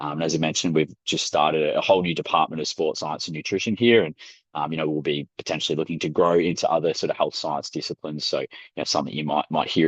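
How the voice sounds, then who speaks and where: His pitch is very deep and low, and he talks very fast. The man keeps his intonation fairly even. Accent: Australian. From Australia, Melbourne. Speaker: sports science academic. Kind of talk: webinar presentation. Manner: hesitant, many fillers.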